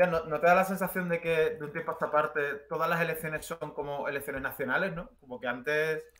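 The man talks at a very fast pace with fairly even intonation. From Spain, Jerez (Andalusia); Andalusia, Spain. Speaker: commentator; interview guest. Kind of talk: casual chat. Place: home room.

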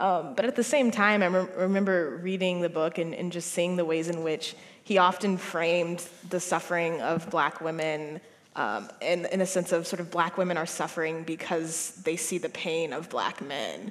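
Using a normal speaking voice, a woman talks at a moderate pace and a fairly low pitch with ordinary pitch variation. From United States. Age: 20s. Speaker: novelist; guest. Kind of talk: panel discussion. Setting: stage with audience. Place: stage. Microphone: headset.

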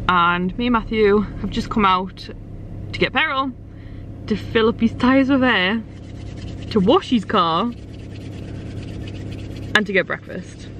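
A woman at a slow pace, with long, frequent pauses. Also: medium pitch for a woman, ordinary pitch variation, fairly bright tone.

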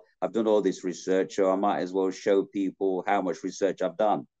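With a Yorkshire accent and a dark, mellow tone, a man speaks fairly low and fairly quickly over a quiet background. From South Yorkshire, England. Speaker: actor. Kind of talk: interview answer. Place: home room. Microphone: video call.

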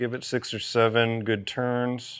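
The background stays quiet. In it, a man talks with a bright, sharp tone. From Southern United States. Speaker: creative director. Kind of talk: product instructional. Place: studio. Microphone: lapel.

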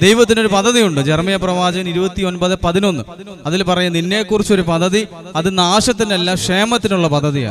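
High-pitched, a man talks with few pauses. Faint background noise sits underneath. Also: ordinary pitch variation, fairly quick pace.

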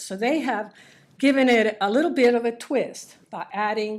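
A woman's fairly high-pitched voice at a moderate pace. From Cuba (Havana). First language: Spanish. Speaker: public commenter. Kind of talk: prepared public comment speech. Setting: school board meeting. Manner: halting, with many fillers.

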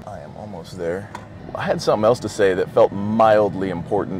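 Against faint music in the background, a man speaks at a fairly low pitch with fairly even intonation in a dry sound with no echo. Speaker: vlogger and actor, former football player; fitness vlogger. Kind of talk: casual vlog talk. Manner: fast. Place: car. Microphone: lapel.

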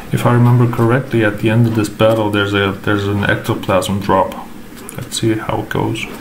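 With noticeable background noise behind him, a man talks at a fairly quick pace and fairly low pitch. His intonation stays flat and monotone. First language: not English. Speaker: gaming content creator. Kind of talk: tutorial. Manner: hesitant, filler words.

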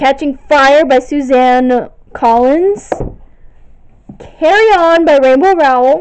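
Speaking at a very slow pace, a woman keeps a very even loudness at a high pitch with ordinary pitch variation, over light background noise. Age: young (19). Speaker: video blogger. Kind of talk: bookshelf tour listing titles. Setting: home recording on camera, echoey room. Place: home room. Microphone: phone near.

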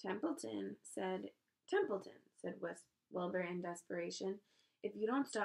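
Here is an unforced reading voice. Behind it, the background stays quiet.

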